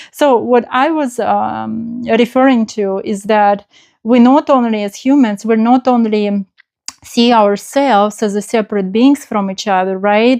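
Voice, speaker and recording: Dry and close with no echo, a woman's fairly high voice moves at a fairly slow pace with fairly even intonation. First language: not English. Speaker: spiritual channel host. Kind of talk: spontaneous spiritual talk. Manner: halting, many fillers.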